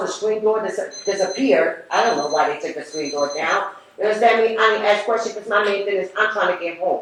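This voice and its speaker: An animated woman's fairly high voice, with noticeable background noise and audible room echo. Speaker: public housing tenant giving public comment. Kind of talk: public comment at board meeting. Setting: public board meeting. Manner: loud; animated, emotional.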